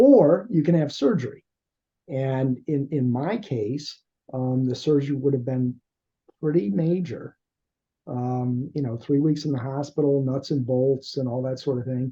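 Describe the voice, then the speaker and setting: Slightly breathy, a man talks at a fairly slow pace. His pitch is fairly high, with ordinary pitch variation. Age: 60s. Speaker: podcast host. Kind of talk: interview. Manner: halting, many fillers.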